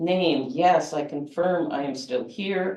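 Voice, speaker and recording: A woman's normal speaking voice, fairly low in pitch, with lively intonation. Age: 60s. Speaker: poet. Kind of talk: poetry reading; casual talk.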